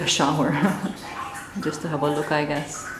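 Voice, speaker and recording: Noticeable noise sits behind a woman whose pitch shifts in an ordinary way. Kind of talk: casual vlog chat. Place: hall. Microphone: phone near.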